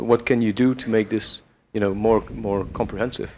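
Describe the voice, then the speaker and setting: Speaking fairly quickly in a flat monotone, a man with a Dutch accent holds a medium pitch. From Belgium. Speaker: audience member. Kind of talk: audience question. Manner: halting.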